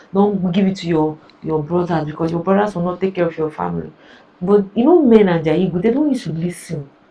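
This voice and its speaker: Noticeable background noise sits behind this woman's voice. She speaks at a medium pitch with ordinary pitch variation. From Nigeria (Igbo). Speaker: reaction video creator. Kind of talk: reaction commentary. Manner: animated.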